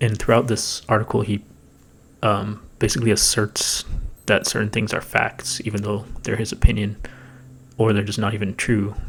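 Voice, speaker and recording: Quietly and with a somewhat breathy, fairly low voice, a man speaks in a monotone, flat way, leaving long, frequent pauses. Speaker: political commentary youtuber. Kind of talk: commentary on a played video. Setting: home recording, thin walls. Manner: fast.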